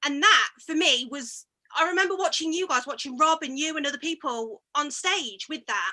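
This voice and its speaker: In a Coventry accent, a woman projects a raised, high-pitched voice with a bright, sharp tone, lively intonation and a moderate pace. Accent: Coventry Midlands. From English Midlands, Coventry. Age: 30s. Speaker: barber. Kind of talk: casual chat. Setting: video call.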